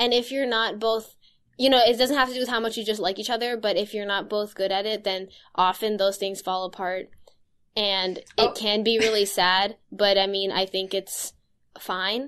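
Over a quiet background, a woman talks at a moderate pace in a plain, everyday voice. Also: medium pitch for a woman, fairly even intonation. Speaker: podcast host. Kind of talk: casual chat. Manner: laughs often, informal.

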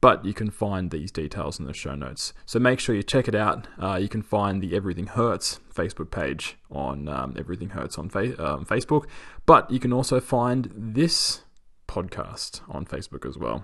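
Against a quiet background, a man with vocal fry and a fairly low pitch talks at a moderate pace, his pitch swinging very widely. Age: 30s. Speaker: podcast host and postdoctoral scientist. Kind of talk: solo podcast monologue.

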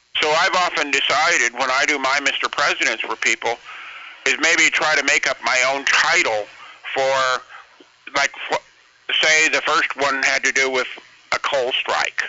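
Long, frequent pauses from a man at a fairly high pitch, his intonation fairly even and his loudness very even, over noticeable background noise. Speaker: caller. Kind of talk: casual chat. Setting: phone call.

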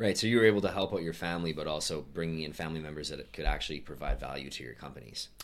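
A man talks at a very fast pace with a very deep, low pitch and vocal fry. His loudness swings widely while his pitch varies in an ordinary way. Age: 20s. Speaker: podcast host. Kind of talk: casual interview.

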